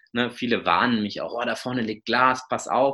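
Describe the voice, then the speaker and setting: On a very clean recording with a silent background, a man's tone comes across bright and sharp. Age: 30s. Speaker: obstacle racer and running coach. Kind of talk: casual interview.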